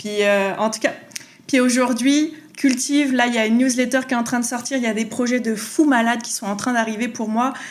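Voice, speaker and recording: A woman talks at a fairly quick pace with a high pitch and an animated tone. Audible room echo surrounds her voice. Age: 30s. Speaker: faith podcaster. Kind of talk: testimony.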